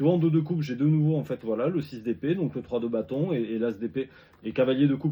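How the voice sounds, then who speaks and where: His delivery is very fast. This man's voice sits fairly high, and its pitch varies in an ordinary way. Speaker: tarot reader. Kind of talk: tarot reading video. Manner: halting, repetitive.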